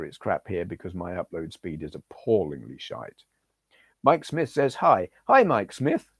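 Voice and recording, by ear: Putting on a character voice, a man speaks hoarsely at a moderate pace with a fairly low pitch.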